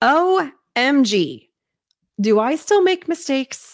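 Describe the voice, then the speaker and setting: An animated woman's voice, high-pitched, with very wide pitch swings and a Midwestern American accent. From US Midwest, southern Indiana. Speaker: podcast host and short-term rental coach. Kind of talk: solo podcast monologue.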